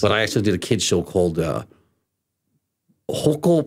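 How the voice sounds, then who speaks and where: The voice carries vocal fry and swings very widely in pitch. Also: man. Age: 50s. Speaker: voice actor. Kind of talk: interview answer. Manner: energetic, upbeat.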